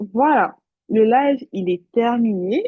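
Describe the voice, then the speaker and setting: The intonation is lively. The pace is very slow. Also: woman. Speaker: nursing exam tutor. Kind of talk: recorded live revision session. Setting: talking to a computer alone. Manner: mumbles words at times.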